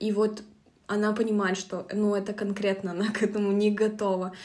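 A woman's fairly high voice in a dark, mellow tone at a moderate pace. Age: 20s. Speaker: book podcast co-host. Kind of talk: casual book discussion.

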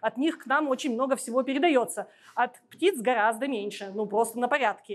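A high-pitched woman's voice at a moderate pace, with ordinary pitch variation and a quiet background. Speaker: ornithologist and biologist. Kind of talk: public lecture with slides. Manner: hesitant with filler sounds.

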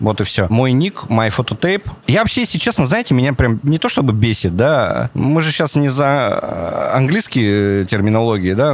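Noticeable noise fills the background while the speech moves at a moderate pace with lively intonation. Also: man. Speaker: street photographer. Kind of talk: casual interview chat. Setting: planetarium dome. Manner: animated.

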